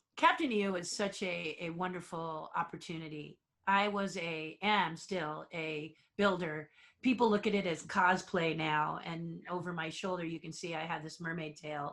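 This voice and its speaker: Over a very clean recording with a silent background, a woman with a normal speaking voice and a fairly low pitch talks at a moderate pace with fairly even intonation and big swings in loudness. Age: 60s. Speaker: theme park designer and puppeteer. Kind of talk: interview.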